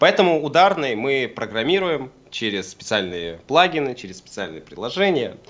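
With hardly any pauses and at a moderate pace, a man speaks at medium pitch with vocal fry, very wide pitch swings and big swings in loudness. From Siberia, Kemerovo. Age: 20s. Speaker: rock musician and physics student. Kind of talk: radio interview. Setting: Skype call.

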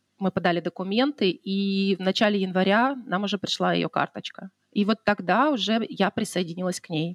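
The speaker has an ordinary speaking voice with ordinary pitch variation at a moderate pace. The sound is dry and close with no echo. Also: woman, medium pitch for a woman. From Russian Far East, Khabarovsk. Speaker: wedding decorator. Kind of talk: casual interview chat.

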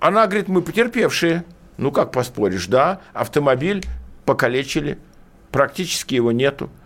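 Vocal fry runs through a man's fairly high voice as he speaks at a moderate pace with very wide pitch swings, long, frequent pauses and very even loudness. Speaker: lawyer. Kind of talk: radio legal consultation. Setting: studio. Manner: animated.

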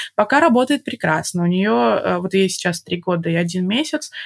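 A woman speaks in a plain, everyday voice at a medium pitch. The sound is dry and close, with no echo. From Belarus, Minsk. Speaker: mother and podcast guest. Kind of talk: casual interview.

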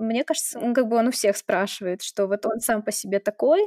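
Recorded with a dry, close sound and no echo, a woman speaks at a fairly high pitch in a plain, everyday voice with ordinary pitch variation. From Russia, St Petersburg. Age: 20s. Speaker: blogger and filmmaker. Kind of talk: interview.

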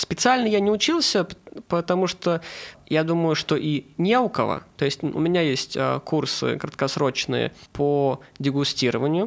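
A man with an ordinary speaking voice, fairly high-pitched, with lively intonation at a fairly slow pace. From Saint Petersburg, Russia. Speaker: food blogger. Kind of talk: casual chat.

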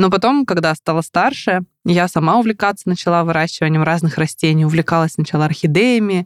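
A woman speaks in an ordinary speaking voice at fairly low pitch and a fairly quick pace. The sound is dry and close, with no echo. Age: 30s. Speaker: plant blogger and biologist. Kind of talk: casual interview.

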